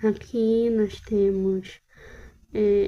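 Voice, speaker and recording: A woman speaks at a medium pitch with a dark, mellow tone and fairly even intonation. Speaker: art hobbyist vlogger. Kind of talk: casual sketchbook tour narration. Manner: halting, with fillers.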